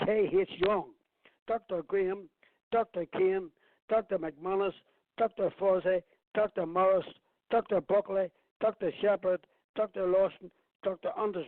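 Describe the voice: A man speaks at a fairly slow pace in a high voice for a man, with ordinary pitch variation and a dry, close sound with no echo.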